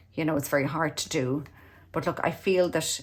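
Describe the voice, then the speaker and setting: Very fast speech with an Irish accent, on a very clean recording with a silent background. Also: woman. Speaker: tarot reader. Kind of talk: tarot reading.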